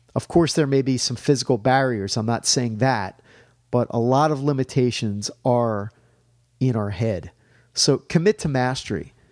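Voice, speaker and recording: On a very clean recording with a silent background, a man speaks in an unremarkable speaking voice at medium pitch, with ordinary pitch variation and a moderate pace. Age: 40s. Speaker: fitness podcast host. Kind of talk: solo motivational talk.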